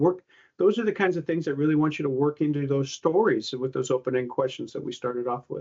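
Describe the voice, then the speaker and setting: A man speaks at a very fast pace. His pitch is fairly high, with ordinary variation. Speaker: physical therapy career coach. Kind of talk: webinar presentation. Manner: animated.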